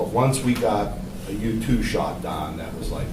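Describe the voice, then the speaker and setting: The voice moves at a moderate pace amid noticeable background noise and audible room echo. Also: man. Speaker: electrical engineer. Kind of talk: classroom commentary. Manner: loud.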